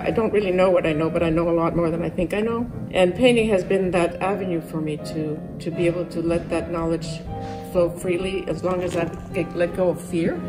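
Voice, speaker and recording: Against clear music in the background, a woman talks at a fairly quick pace with fairly low pitch. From New York. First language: French. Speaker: painter. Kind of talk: interview answer. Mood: warm, enthusiastic. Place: workshop.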